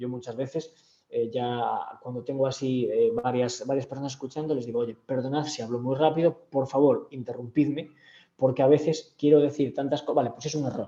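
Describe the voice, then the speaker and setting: A man's dark, mellow tone at medium pitch, with fairly even intonation and a fairly quick pace. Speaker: communication skills trainer. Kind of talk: online training session. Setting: video call from home. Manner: fast.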